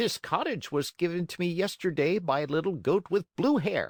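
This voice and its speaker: Using a put-on character voice, a man pitches himself high. His pace is moderate. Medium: read story. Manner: gently lecturing.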